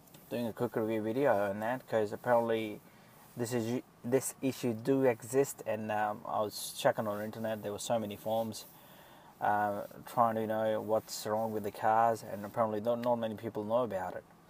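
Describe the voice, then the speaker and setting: A man's monotone, flat delivery in dry sound with no echo, with light background noise. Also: fairly quick pace. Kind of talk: casual explanatory vlog. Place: car. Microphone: phone near.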